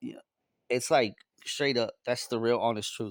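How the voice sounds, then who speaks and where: A very clean recording of a man, the background silent. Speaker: vlogger. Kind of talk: casual vlog monologue.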